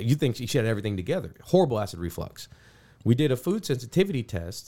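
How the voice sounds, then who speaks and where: Very fast speech in a dark, mellow tone with very wide pitch swings, on a very clean recording with a silent background. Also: man. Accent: American. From US, Cleveland then Houston, Texas. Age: 30s. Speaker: doctor. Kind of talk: interview.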